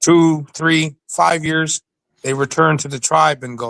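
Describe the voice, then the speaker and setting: In a very clean recording with a silent background and a dry, close sound with no echo, a man speaks at a moderate pace with a bright, sharp tone and fairly even intonation. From Alert Bay, British Columbia, Canada (First Nation). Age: 60s. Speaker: Sasquatch researcher and store manager. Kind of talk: interview storytelling.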